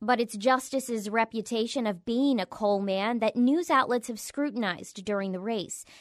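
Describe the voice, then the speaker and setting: A woman speaks with an ordinary speaking voice at a fairly high pitch. Her pitch variation is ordinary, and the recording is very clean with a silent background. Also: moderate pace, hardly any pauses. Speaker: public radio host. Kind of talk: scripted narration.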